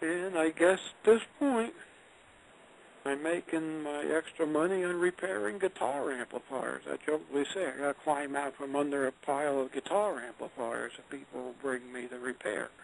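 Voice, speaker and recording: Delivered at a moderate pace with ordinary pitch variation and big swings in loudness, this is a plain, everyday voice. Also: man, fairly high pitch for a man. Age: 60s. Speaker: retired engineer and author. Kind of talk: interview. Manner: conversational.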